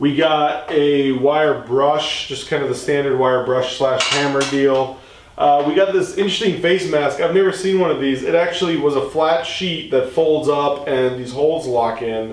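With hardly any pauses, a man speaks at a moderate pace and ordinary pitch variation, with audible room echo. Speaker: product reviewer. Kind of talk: product review tutorial. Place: garage.

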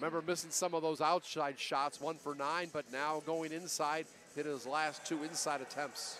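Over noticeable background noise, a man with a fairly high pitch speaks at a moderate pace in a bright, sharp tone, the sound dry with no echo. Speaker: basketball commentator. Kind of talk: live sports commentary. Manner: excitable, rising on big plays. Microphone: headset.

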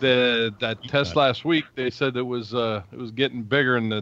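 A man with a normal speaking voice talks at medium pitch and a moderate pace, his intonation fairly even, in a dry sound with no echo. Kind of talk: casual chat. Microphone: video call.

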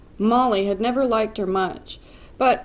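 Pitch moves in an ordinary way across this natural reading voice.

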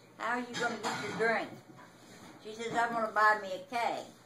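A woman talks at a moderate pace while noticeable background noise plays behind her. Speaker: grandmother telling stories. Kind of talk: casual conversation, storytelling. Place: home room. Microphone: phone near.

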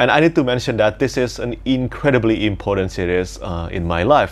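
With vocal fry and lively intonation, a man speaks at a fairly quick pace in a fairly low pitch. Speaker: book reviewer. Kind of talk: casual vlog chat. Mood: enthusiastic. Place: home room. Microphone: lapel.

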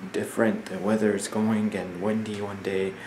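The delivery is monotone, with flat intonation. Light background noise sits behind it. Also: man. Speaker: vlogger. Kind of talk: casual vlog chat. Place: home room. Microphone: phone near.

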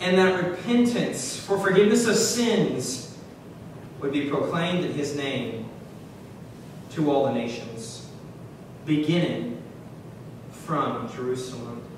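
Amid noticeable background noise and strong room echo, a man speaks at a very slow pace with long, frequent pauses. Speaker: preacher. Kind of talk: sermon. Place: church.

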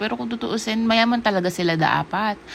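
A woman with a medium-pitched voice talks at a fairly quick pace with lively intonation, and noticeable background noise can be heard. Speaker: vlogger. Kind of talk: casual vlog chat. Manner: animated.

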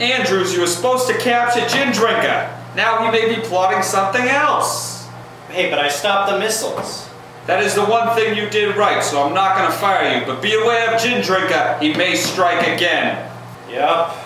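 A man's raised, projected voice at a moderate pace, with very even loudness and ordinary pitch variation, amid strong room echo and light background noise. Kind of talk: acted comedic dialogue. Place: office. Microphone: camera far.

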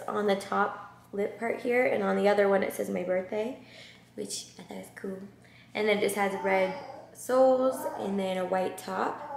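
Amid light background noise and audible room echo, a woman speaks at a fairly slow pace. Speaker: vlogger. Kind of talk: casual vlog chat. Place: home room. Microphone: camera far.

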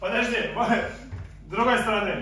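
Heard with strong room echo, a man's high voice has a bright, sharp tone.

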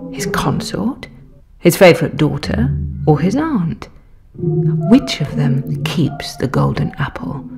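A woman talks very slowly while music plays behind her. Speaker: actress. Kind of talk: audio drama narration.

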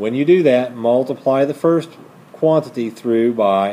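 A man's voice, with ordinary pitch variation, comes through light background noise. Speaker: math teacher. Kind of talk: lecture. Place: classroom.

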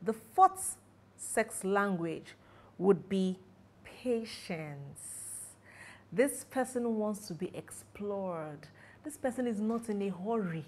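A woman at a medium pitch speaks at a very slow pace, with ordinary pitch variation and long, frequent pauses. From Nigeria. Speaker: sexologist and marriage counselor. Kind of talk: educational talk to camera. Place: home room.

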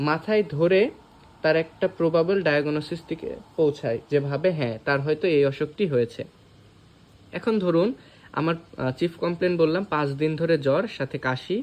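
This is a man with an ordinary speaking voice. His pitch shows ordinary variation. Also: fairly high pitch for a man. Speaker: doctor. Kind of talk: tutorial.

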